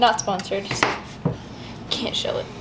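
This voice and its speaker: A woman speaks at a moderate pace. Background noise is noticeable, and room echo can be heard. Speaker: fitness vlogger. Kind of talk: casual vlog talk. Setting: gym.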